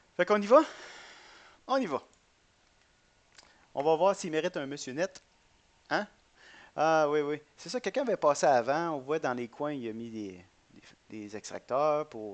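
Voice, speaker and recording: A man with a Quebec accent speaks fairly slowly at a fairly high pitch, with long, frequent pauses, against a quiet background. His pitch swings very widely and his loudness rises and falls sharply. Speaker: gaming YouTuber. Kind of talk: gameplay commentary. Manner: hesitant, many fillers and repetitions.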